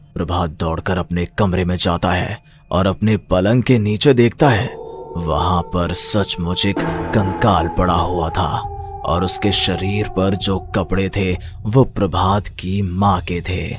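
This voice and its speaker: A man puts on a cartoonish character voice with a very deep, low pitch at a fairly slow pace. Clear music sits in the background. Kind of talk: horror narration.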